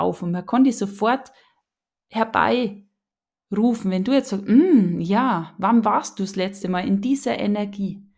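A woman with a Bavarian accent speaks at a fairly slow pace in a medium pitch, her voice animated and somewhat breathy with ordinary pitch variation. The recording is very clean, with a silent background. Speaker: podcast host, spiritual coach. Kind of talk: casual solo monologue.

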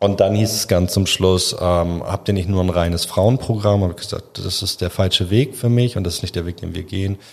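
A man in a normal speaking voice, fairly low in pitch, fairly quick and with hardly any pauses, intonation fairly even. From Hamburg, northern Germany. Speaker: founder of a refugee gastronomy training program. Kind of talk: podcast interview.

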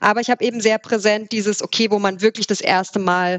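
A woman with an ordinary speaking voice talks at a moderate pace, at medium pitch, with fairly even intonation. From Saxony, Erzgebirge near Zwickau, then Swabian Alb. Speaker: startup founder. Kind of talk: interview.

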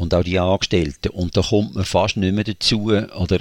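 In a dry, close sound with no echo and a very clean, silent background, a man speaks at a very deep, low pitch with ordinary pitch variation. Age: 60s. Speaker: church coach and deacon. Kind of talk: interview.

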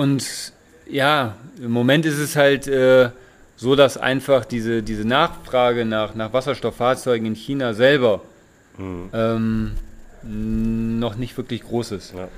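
Very slow delivery from a man, his pitch varying in an ordinary way. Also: medium pitch for a man. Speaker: hydrogen industry employee. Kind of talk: casual chat. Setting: informal holiday setting by the sea. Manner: halting, many fillers.

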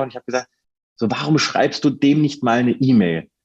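A man talks at a fairly quick pace with an unremarkable speaking voice. His pitch is medium, with ordinary pitch variation. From northern Hesse, Germany (near Kassel). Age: 30s. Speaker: football reporter. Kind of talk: podcast interview.

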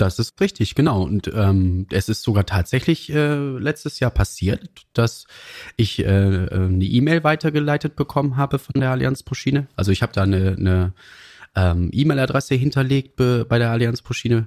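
A man's medium-pitched voice at a moderate pace, with lively intonation and very even loudness, in a dry, close sound with no echo on a very clean recording with a silent background. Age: 40s. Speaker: train dispatcher. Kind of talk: interview conversation. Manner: hesitant with fillers.

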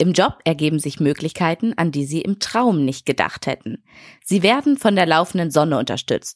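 A woman has an unremarkable speaking voice, fairly low in pitch, with lively intonation at a moderate pace. The sound is dry and close with no echo. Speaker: podcast co-host. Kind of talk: casual chat.

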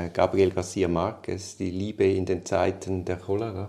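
Speaking at a moderate pace with a Swiss accent, a man has a very deep, low pitch and a dark, mellow, somewhat breathy tone. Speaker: lawyer. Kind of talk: casual chat.

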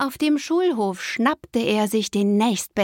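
Quiet surroundings behind a natural reading voice.

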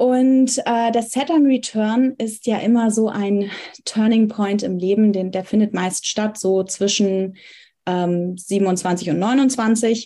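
Speaking at a very slow pace, a woman has a fairly high pitch, ordinary pitch variation and a dark, mellow tone on a very clean recording with a silent background. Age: 20s. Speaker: astrologer and psychology student. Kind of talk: casual interview. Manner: frequent hesitation fillers.

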